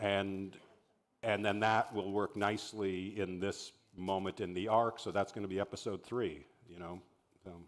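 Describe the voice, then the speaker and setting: His voice is fairly low in pitch, with monotone, flat intonation. This man keeps a moderate pace with big swings in loudness. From Canada. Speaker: TV showrunner and writer. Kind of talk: masterclass talk. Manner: halting.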